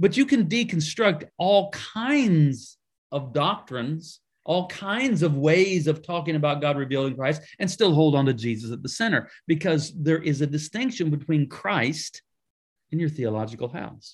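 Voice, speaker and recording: At a moderate pace, a man uses a normal speaking voice, fairly high in pitch, with lively intonation. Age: 60s. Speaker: pastor and author. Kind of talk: interview.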